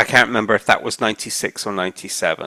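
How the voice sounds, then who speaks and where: A man with a southern English accent speaks with vocal fry and a bright, sharp tone. The sound is dry and close, with no echo. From Isle of Wight, southern England. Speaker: oral history interviewee. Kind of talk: oral history interview. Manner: conversational.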